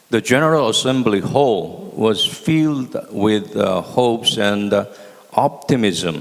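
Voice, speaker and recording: Over noticeable background noise, a man speaks at a very slow pace in a medium pitch with ordinary pitch variation. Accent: Korean. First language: Korean. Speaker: former ambassador, panelist. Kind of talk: panel presentation. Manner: halting, many fillers.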